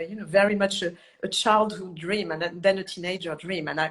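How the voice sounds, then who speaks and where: A woman at medium pitch, speaking at a moderate pace with ordinary pitch variation. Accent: French. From southern France. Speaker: chef and cookbook author. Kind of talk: interview.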